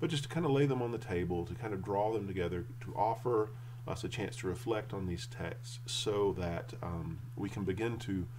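Light background noise sits under a man's voice. He keeps a moderate pace with ordinary pitch variation. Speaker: church teacher or pastor. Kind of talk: sermon. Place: home room. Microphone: webcam.

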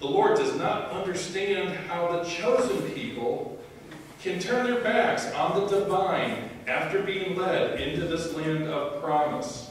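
The speech moves at a very slow pace, with strong room echo and light background noise. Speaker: prophet character in a church skit. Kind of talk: staged courtroom drama performed in church. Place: church.

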